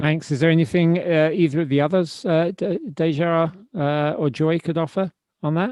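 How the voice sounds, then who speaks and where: A man with a fairly high pitch and fairly even intonation speaks at a moderate pace, the sound dry and close with no echo. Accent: British. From Britain. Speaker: podcast host, writer. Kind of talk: interview. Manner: halting, many restarts.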